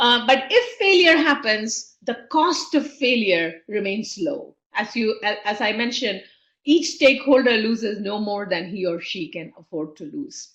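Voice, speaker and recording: With audible room echo, a woman speaks fairly slowly in a fairly high voice, with very wide pitch swings, big swings in loudness, and hardly any pauses. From India. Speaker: entrepreneurship professor. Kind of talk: webinar lecture. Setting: online webinar.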